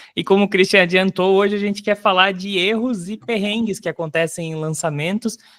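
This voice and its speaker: In a very clean recording with a silent background and a dry, close sound with no echo, a man talks at a moderate pace with ordinary pitch variation. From Brazil, Paraná. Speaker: podcast host, digital marketer. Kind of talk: casual podcast chat.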